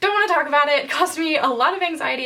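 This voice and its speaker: A woman's raised, projected voice, bright and sharp, at a very fast pace with lively intonation. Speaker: book reviewer. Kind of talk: casual chat.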